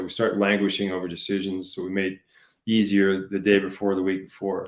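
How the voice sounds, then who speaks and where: Here a man talks at a fairly quick pace. The recording is very clean, and the background is silent. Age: 60s. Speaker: leadership coach. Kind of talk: interview. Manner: frequent fillers like um and you know.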